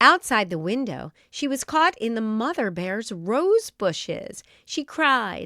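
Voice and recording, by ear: The passage is read aloud in a natural voice.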